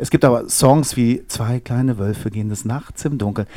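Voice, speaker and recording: Dark and mellow, a man's voice sits at a medium pitch. He moves at a fairly quick pace. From northwest Germany, Osnabrück area. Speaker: children's musician. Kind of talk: casual interview. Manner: animated.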